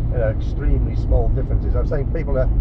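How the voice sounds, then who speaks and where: Loud background noise surrounds a man whose voice has a dry sound with no echo. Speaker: language learner. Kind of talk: casual chat. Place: car. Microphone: phone near.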